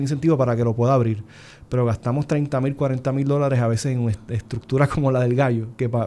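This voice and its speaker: A man speaks at medium pitch with a dark, mellow tone. His pace is fairly quick and his intonation fairly even. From Puerto Rico, Isabela. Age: 30s. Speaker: physician and senate candidate. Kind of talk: political panel discussion.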